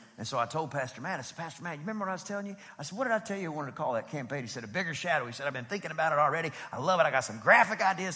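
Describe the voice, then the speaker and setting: Over noticeable background noise, a man talks at a very fast pace in a fairly high pitch with very wide pitch swings. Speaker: pastor. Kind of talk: sermon. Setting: church service with congregation. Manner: animated.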